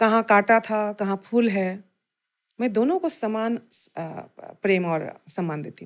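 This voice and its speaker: In a very clean recording with a silent background, a woman uses an ordinary speaking voice with lively intonation. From Assam. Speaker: folk and Bhojpuri singer. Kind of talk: interview answer.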